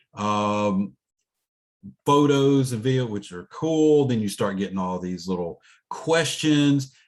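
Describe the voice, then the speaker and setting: This man's voice sits at medium pitch with lively intonation. He speaks at a fairly slow pace. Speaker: college instructor. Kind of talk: online class lecture. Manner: casual, hesitant with fillers.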